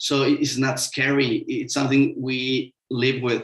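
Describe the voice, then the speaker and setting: A man talks with a Mexican accent in a monotone, flat intonation. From Mexico. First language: Spanish. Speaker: sustainable construction consultant. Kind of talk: webinar panel talk. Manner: halting, many fillers.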